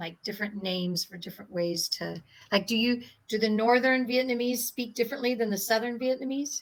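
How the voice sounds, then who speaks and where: Speaking at a fairly quick pace with an American accent, this is an unremarkable speaking voice with ordinary pitch variation. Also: woman. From US. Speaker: English conversation partner. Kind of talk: casual conversation practice with corrections.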